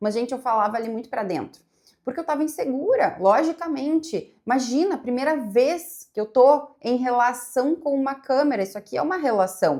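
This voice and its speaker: A woman's high pitch and dark, mellow tone, relaxed in tone, with lively intonation, a moderate pace and hardly any pauses. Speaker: psychologist and content creator. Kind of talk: casual reaction video monologue. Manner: relaxed, flowing.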